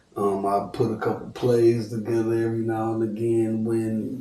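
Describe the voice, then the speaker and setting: A man's dark, mellow voice moves at a very slow pace. His intonation is monotone and flat, with audible room echo. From US Midwest, Cleveland, Ohio. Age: 30s. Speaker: celebrity barber and rapper. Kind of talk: casual podcast interview.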